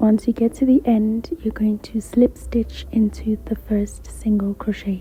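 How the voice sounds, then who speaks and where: Someone whispers at a fairly slow pace. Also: hardly any pauses. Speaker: crochet tutorial creator. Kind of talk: tutorial. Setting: library. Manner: whispering on and off.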